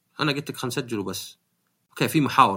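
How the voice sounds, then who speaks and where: A man with a Saudi accent and vocal fry speaks in a bright, sharp tone in a very clean recording with a silent background. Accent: Gulf Arabic (Saudi). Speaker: podcast host. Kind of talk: casual chat.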